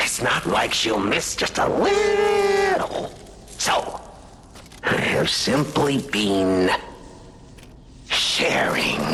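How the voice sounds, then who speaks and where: A put-on character voice at a very slow pace, with long, frequent pauses and clear background noise. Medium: video game. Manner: mocking, theatrical, frequent laughter.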